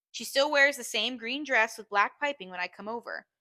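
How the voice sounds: The tone is bright and sharp, with lively intonation. The pace is fairly quick. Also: woman.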